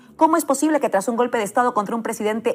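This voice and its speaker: Over noticeable background noise, a woman talks at a very fast pace, her high pitch showing ordinary variation. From Peru. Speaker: political journalist. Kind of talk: political editorial. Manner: impassioned.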